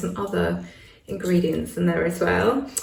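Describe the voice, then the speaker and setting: A woman speaks with a British accent. Audible room echo and noticeable background noise fill the recording. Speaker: witchcraft YouTuber. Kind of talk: casual chat to camera.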